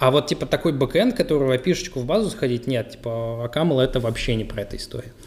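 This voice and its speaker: Words come at a fairly quick pace in an unremarkable speaking voice. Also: man. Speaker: podcast co-host and frontend developer.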